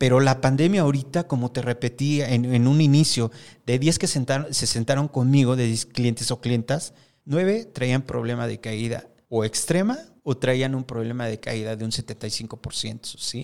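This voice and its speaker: This man has a plain, everyday voice with ordinary pitch variation. He speaks at a fairly slow pace in a very clean recording with a silent background. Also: medium pitch for a man. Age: 50s. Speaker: hair stylist and salon owner. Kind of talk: casual interview. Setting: studio.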